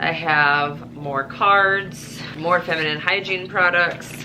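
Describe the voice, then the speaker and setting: A woman with a Midwestern accent and ordinary pitch variation, amid noticeable background noise. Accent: Midwestern, noticeable on the word bag. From US Midwest. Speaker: operating room nurse and vlogger. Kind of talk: casual vlog chat.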